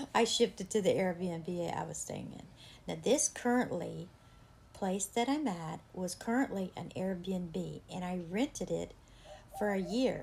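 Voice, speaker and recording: A woman's somewhat breathy voice at medium pitch, fairly slow, with ordinary pitch variation and big swings in loudness. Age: 60s. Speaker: artist and home decor vlogger. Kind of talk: casual vlog tour. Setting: indoors at home, patio door open.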